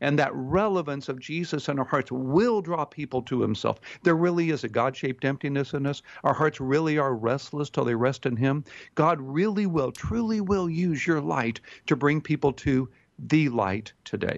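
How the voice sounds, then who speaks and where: With lively intonation and a moderate tempo, an unremarkable speaking voice delivers the lines. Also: man, fairly high pitch for a man. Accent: American. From Texas, Houston. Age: 60s. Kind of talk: radio interview.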